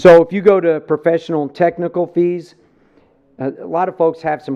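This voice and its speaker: Speaking at a moderate pace with a New Jersey accent, a man keeps his high-pitched voice monotone and flat. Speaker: police chief presenting budget. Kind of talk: budget presentation at public meeting. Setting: county government meeting.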